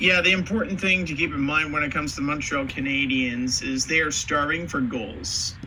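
A man's fairly high-pitched voice with lively intonation, a moderate pace, and hardly any pauses amid noticeable background noise. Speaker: podcast host. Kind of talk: casual sports podcast discussion.

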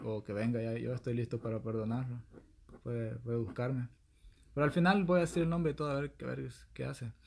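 A man with a Salvadoran accent and medium pitch, lively intonation, a fairly quick pace, and long, frequent pauses. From El Salvador. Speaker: podcast host. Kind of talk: casual chat.

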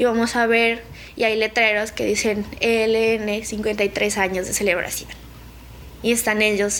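A woman speaks in a monotone with flat intonation at a medium pitch, and the room echo is audible. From Colombia, Nariño. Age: 20s. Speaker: conflict survivor, student. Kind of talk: testimony.

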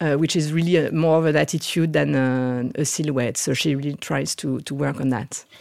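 In a very clean recording with a silent background, a woman with a French accent speaks at a moderate pace with a very deep, low pitch and ordinary pitch variation. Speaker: fashion executive. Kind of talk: casual interview.

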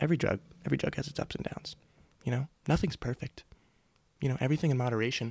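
Speaking at a very fast pace with long, frequent pauses, a man sounds somewhat breathy in a dry, close recording with no echo. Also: ordinary pitch variation. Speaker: podcast host. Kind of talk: casual rambling monologue. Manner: rambling, self-deprecating; animated.

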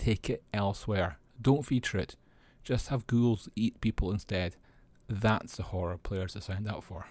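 A man with a Scottish accent speaks at a moderate pace with fairly low pitch and ordinary pitch variation. His voice is somewhat breathy, and the recording is very clean with a silent background. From Scotland. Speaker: tabletop gaming news podcaster. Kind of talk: news roundup monologue.

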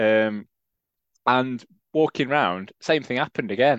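In a Yorkshire accent, a man speaks at medium pitch with ordinary pitch variation, his voice dry and close with no echo against a quiet background. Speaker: football fan podcast co-host. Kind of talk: casual chat.

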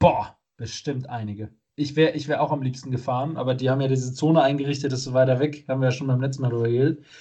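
A man races along at a very fast pace in a somewhat breathy, dark, mellow voice of medium pitch, his intonation fairly even. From Germany, not Munich. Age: 30s. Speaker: podcast co-host. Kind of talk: casual chat. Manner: halting, many fillers.

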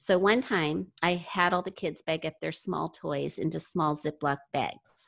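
A woman speaks at a fairly slow pace with a fairly low pitch, vocal fry and ordinary pitch variation, hardly pausing. The background is quiet. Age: 60s. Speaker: mother sharing parenting experience. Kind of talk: casual interview. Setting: video call.

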